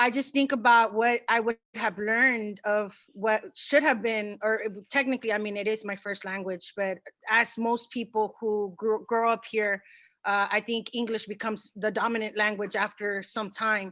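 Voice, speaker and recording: In an American accent, a woman with a fairly high pitch and a bright, sharp tone speaks at a moderate pace with monotone, flat intonation, in a very clean recording with a silent background. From US, Spanish-English bilingual community. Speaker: teacher. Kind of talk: workshop discussion.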